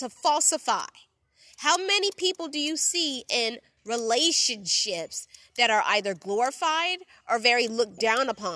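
An animated, raised and projected woman's voice, high-pitched with very wide pitch swings, a bright, sharp tone, a moderate pace and a dry, close sound with no echo. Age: 20s. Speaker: podcast host. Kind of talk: solo monologue.

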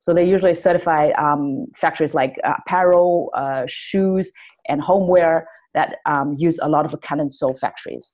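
A woman with a Chinese accent speaks at a moderate pace, her fairly low pitch moving with ordinary variation. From China, Shanghai. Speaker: company founder. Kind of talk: interview. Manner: halting, many fillers.

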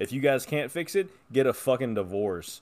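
At a moderate pace, a man uses an unremarkable speaking voice with a medium pitch and lively intonation. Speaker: podcast co-host. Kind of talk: casual comedic chat. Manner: joking, sarcastic.

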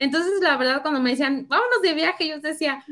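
The woman speaks with lively intonation. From Querétaro, Mexico (born in Michoacán). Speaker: entrepreneur and mother. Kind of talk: casual interview chat. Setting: video call.

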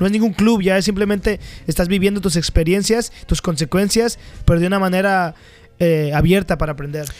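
Fairly quick speech from a man, high in pitch, with ordinary pitch variation. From Mexico. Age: 20s. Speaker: podcast co-host. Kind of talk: casual chat. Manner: halting, repeats words.

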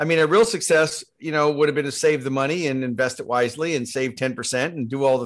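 Here is an ordinary speaking voice from a man with a fairly high pitch. He moves at a fairly quick pace with ordinary pitch variation. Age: 60s. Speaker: marketing agency CEO and keynote speaker. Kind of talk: casual interview.

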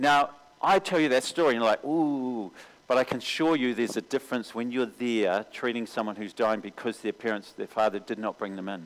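In a New Zealand accent, a man talks at a fairly quick pace with a medium pitch and ordinary pitch variation. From New Zealand, Auckland. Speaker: mission agency recruiter. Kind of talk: sermon.

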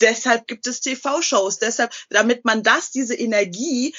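Using a plain, everyday voice, a woman speaks at a fairly high pitch with lively intonation. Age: 30s. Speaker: TV shopping presenter and author. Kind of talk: interview.

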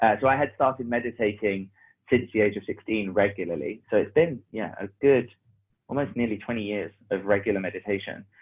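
In a London accent, the speaker talks at a fairly quick pace with ordinary pitch variation. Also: man, fairly low pitch for a man. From London (Hackney). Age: 30s. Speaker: business mentor and operations manager. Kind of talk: casual chat.

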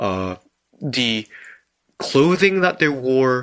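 A man with a Korean accent speaks at a very slow pace in a medium pitch. His tone is bright and sharp, and the background is quiet. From South Korea. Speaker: podcast co-host. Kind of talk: live stream discussion. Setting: live stream.

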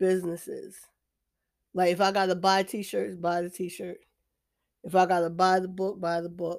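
Speaking in a monotone at a moderate pace, a woman with an American accent and a medium pitch leaves long, frequent pauses in a very clean recording with a silent background. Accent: sounds ratchet, street. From New Jersey. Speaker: podcast host. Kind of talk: casual monologue.

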